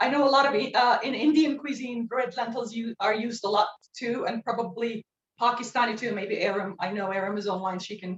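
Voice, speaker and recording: With a Turkish accent, a woman speaks at a fairly quick pace, her fairly high pitch showing ordinary pitch variation. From northwestern Turkey. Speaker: cooking instructor. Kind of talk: cooking demonstration. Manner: hesitant, many fillers.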